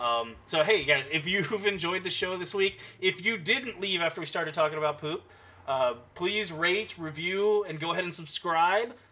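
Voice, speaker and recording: Noticeable background noise sits behind a man speaking at a moderate pace. His pitch is high, with ordinary variation. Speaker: podcast co-host. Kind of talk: casual chat.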